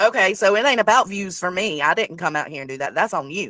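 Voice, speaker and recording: A woman speaks very fast with a Southern US accent, her tone bright and sharp. Her intonation is lively, and the sound is dry and close with no echo. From US South. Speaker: live streamer. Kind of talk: live stream reaction commentary.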